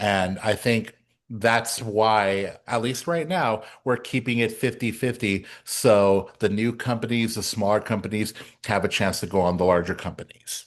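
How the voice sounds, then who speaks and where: A man has an ordinary speaking voice with a medium pitch and ordinary pitch variation. He talks at a fairly slow pace against a quiet background. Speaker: president of theatre awards council. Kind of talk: town hall presentation. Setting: meeting room with audience.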